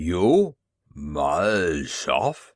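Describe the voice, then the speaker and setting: Putting on a character voice, a man growls in a guttural, very deep, low tone that sounds angry. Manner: growling, angry, then surprised.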